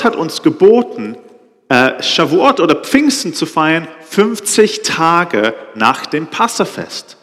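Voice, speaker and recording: A man speaks at a high pitch, his voice making very wide pitch swings. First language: Hebrew (speaking German). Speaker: preacher. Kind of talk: sermon. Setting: stage with audience. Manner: halting.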